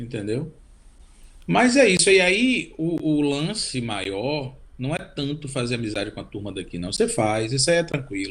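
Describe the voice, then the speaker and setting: A somewhat breathy man's voice, fairly high in pitch, at a moderate pace, with very wide pitch swings and big swings in loudness. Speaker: cellist and composer. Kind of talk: interview. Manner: halting, repeats words.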